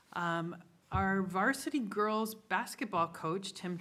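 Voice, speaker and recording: A woman speaks with ordinary pitch variation. Some room echo can be heard. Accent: American. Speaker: school superintendent. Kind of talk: report at a school board meeting. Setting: board meeting room. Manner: fast.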